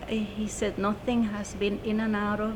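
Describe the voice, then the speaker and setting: A woman at medium pitch, fairly slow, with audible room echo. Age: 70s. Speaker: UFO witness. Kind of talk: testimony.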